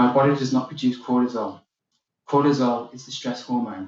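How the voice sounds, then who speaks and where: With a British accent, a man talks at a fairly quick pace. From UK. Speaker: keynote speaker. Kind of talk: keynote speech. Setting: virtual summit video.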